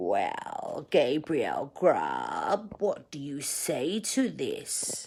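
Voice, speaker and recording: This put-on character voice growls its way through the words at a very slow pace. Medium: read story. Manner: stern, mocking.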